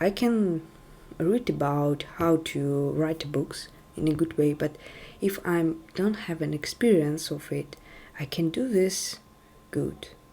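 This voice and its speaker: A woman speaks very slowly with a non-native accent and long, frequent pauses. Her very deep, low voice has a dark, mellow tone and ordinary pitch variation. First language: not English. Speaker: tech video creator. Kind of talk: casual talk to camera. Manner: halting.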